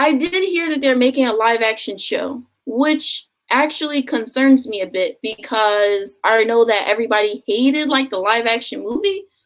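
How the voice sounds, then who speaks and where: Lively in intonation and high in pitch, a woman with an American accent talks at a moderate pace. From US, Philadelphia. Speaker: booktuber. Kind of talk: live stream Q&A. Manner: casual, filler-heavy.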